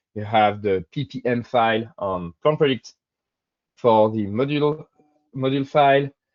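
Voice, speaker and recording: With a French accent, a man speaks at a medium pitch and a moderate pace. His pitch varies in an ordinary way, and he leaves long, frequent pauses. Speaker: software engineer presenter. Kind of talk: webinar presentation. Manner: hesitant, many fillers.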